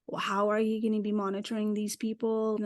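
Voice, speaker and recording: With a non-native accent, a woman speaks at a moderate pace. The background is quiet. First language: not English. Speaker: career coach for immigrants. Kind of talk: interview.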